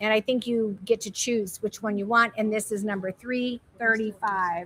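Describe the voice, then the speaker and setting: Loud and animated, a woman speaks at a fairly high pitch with a bright, sharp tone. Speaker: live sale host, home decor presenter. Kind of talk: live shopping stream. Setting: warehouse live stream.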